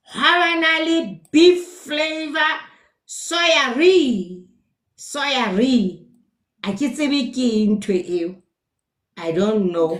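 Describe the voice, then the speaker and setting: Pausing long and often, a woman with a high voice speaks at a very slow pace with very wide pitch swings. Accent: Lesotho. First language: Sesotho. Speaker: nutrition educator. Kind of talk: live stream talk. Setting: live stream.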